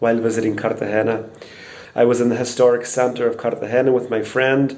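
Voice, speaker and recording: A man with a Northern Irish accent at a medium pitch, fairly quick pace, and fairly even intonation, with audible room echo and noticeable background noise. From Northern Ireland, Portadown. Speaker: crime victim interviewee. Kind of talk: testimony.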